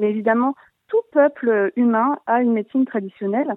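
A woman speaks with ordinary pitch variation. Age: 30s. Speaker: naturopath. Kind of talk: call-in explanation.

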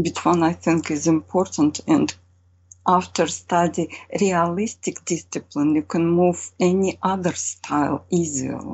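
A woman with a Russian accent speaks at a fairly slow pace and a fairly low pitch. Her intonation is fairly even and her loudness very even. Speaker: painter. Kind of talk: interview. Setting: video call. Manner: halting.

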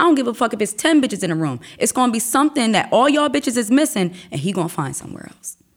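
A woman's very fast speech, fairly high in pitch with vocal fry and very wide pitch swings. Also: big swings in loudness. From Wilmington, Delaware, US. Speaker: rapper. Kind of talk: casual interview.

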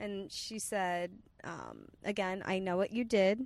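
A woman with an American accent and an unremarkable speaking voice speaks in a medium pitch with fairly even intonation. The recording is very clean, with a silent background. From Long Island, New York. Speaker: comedian. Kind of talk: casual chat. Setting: in a car.

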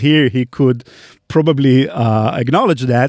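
A man with an Israeli accent, in a dry, close recording with no echo. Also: very clean recording, silent background. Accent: Hebrew-accented English. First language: Hebrew. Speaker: podcast host. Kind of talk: live Q&A chat. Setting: studio.

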